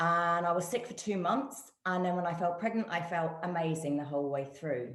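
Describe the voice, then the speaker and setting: A woman with a British accent speaks at a fairly low pitch, with audible room echo. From UK. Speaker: guest, physiotherapist and nutritionist. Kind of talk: testimony.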